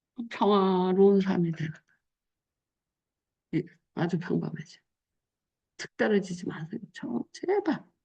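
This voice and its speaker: At a fairly slow pace with long, frequent pauses, a woman speaks at medium pitch in a somewhat breathy voice, with ordinary pitch variation and big swings in loudness. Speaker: pastor. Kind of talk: sermon. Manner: casual, conversational preaching.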